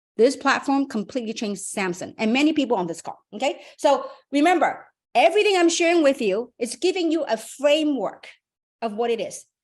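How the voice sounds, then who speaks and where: Her pitch high and swinging very widely, a woman talks at a fairly quick pace. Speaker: business opportunity presenter. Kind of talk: motivational presentation on a webinar. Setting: online group call. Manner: fast; animated.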